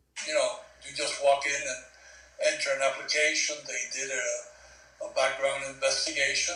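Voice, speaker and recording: Over noticeable background noise and audible room echo, a man talks at a moderate pace. His loudness swings widely. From Cuba. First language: Spanish. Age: 70s. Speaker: war veteran. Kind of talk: oral history interview.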